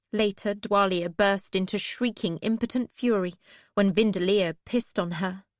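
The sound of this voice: A reading voice, unforced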